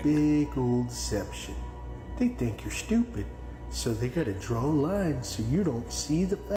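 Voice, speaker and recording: A raspy, put-on character voice talks at a moderate pace over music in the background. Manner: mopey.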